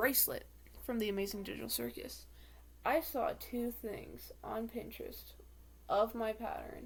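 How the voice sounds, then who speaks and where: A woman is speaking. Her pace is moderate. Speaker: makeup vlogger. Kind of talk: casual chat. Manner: rambling filler-heavy.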